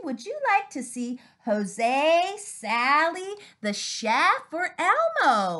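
Against a quiet background, a woman in a raised, projected voice with an upbeat, playful tone speaks at a very slow pace, high in pitch, with very wide pitch swings and big swings in loudness. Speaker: speech-language pathologist. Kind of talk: children's therapy play demo to camera. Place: home room. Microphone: webcam.

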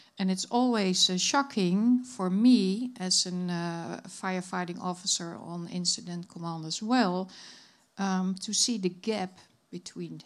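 A woman speaks at a fairly slow pace with a Dutch accent. Her pitch varies in an ordinary way over a quiet background. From Netherlands. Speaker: conference moderator and fire chief; conference moderator. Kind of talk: session moderation. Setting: stage with audience. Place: hall. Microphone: handheld.

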